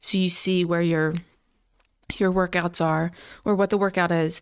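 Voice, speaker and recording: In an American accent, a woman speaks with monotone, flat intonation. The recording is very clean, with a silent background. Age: 30s. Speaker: police officer. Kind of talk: casual chat.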